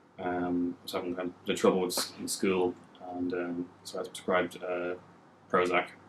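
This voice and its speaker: With an Irish accent, a man speaks at a moderate pace in a very deep, low pitch and a monotone, flat intonation over noticeable background noise. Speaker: person with lived experience of depression. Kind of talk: interview testimony. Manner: halting.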